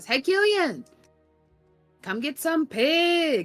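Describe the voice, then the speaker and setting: Faint music plays in the background behind a high-pitched, put-on character voice. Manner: shouting a friendly call, chewing.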